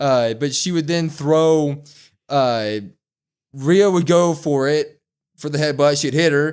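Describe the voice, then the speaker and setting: Pausing long and often, a man talks at a very slow pace in a fairly high pitch, on a very clean recording with a silent background. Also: ordinary pitch variation. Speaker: wrestling podcast co-host. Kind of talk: casual chat. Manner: stutters; animated.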